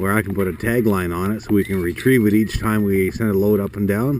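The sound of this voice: Here is a man with a fairly low pitch. His tone is slightly mellow.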